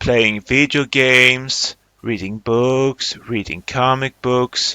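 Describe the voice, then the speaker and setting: At a very slow pace, a man speaks in a bright, sharp tone. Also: dry, close sound with no echo. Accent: Swedish. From Sweden. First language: Swedish. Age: 30s. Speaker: film director and animator. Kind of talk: interview.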